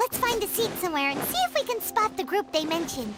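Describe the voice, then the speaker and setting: A squeaky, put-on character voice at an extremely high pitch races along at a very fast pace over clear background music. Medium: machinima.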